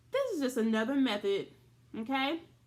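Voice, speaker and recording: A woman talks fairly quickly in an unremarkable speaking voice. Her pitch varies in an ordinary way. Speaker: elementary school teacher. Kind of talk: virtual classroom lesson. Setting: recorded video lesson.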